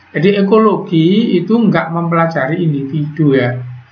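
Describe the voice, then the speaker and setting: Fairly slow speech with ordinary pitch variation, audible room echo and noticeable background noise. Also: man. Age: 60s. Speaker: teacher. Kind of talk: online class lecture.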